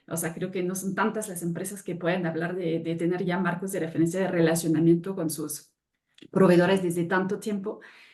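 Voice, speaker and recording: A woman with a fairly low pitch speaks fairly quickly in a monotone, flat intonation, with audible room echo. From France. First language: French (speaking Spanish). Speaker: sustainability consultant. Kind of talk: webinar panel talk.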